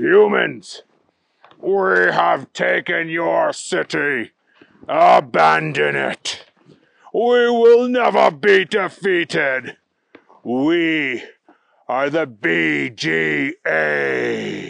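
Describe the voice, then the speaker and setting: A man puts on a booming, robotic character voice. He talks at a very slow pace, with long, frequent pauses. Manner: menacing, declaring.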